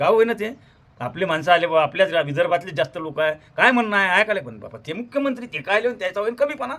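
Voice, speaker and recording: Bright and sharp in tone, a man's high voice swings very widely in pitch and shows big swings in loudness. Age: 50s. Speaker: farmer activist and social media creator. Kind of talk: monologue to camera. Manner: animated.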